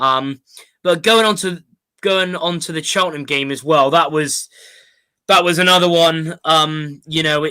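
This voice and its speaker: A man with a Bristol accent, fairly high in pitch, bright and sharp in tone, with ordinary pitch variation. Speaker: football fan podcast host. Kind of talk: casual chat. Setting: online live stream. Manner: hesitant, many fillers.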